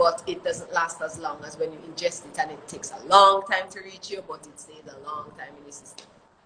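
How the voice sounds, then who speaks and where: Noticeable background noise runs beneath the woman's voice. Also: hardly any pauses, big swings in loudness. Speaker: reggae singer. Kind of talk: interview. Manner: fast.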